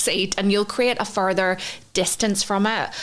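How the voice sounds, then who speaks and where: Against noticeable background noise, a woman speaks with a strong Northern Irish accent. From Northern Ireland. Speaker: podcast co-host, intuitive psychology trainer. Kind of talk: podcast teaching framework. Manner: conversational with fillers.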